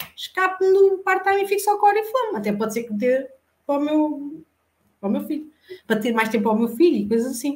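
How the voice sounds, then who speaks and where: A high-pitched woman's voice, fairly quick, with very wide pitch swings. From Portugal, Santarém area (Alcanhões). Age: 40s. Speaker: insurance broker and cosmetics sales director. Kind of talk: interview, casual chat.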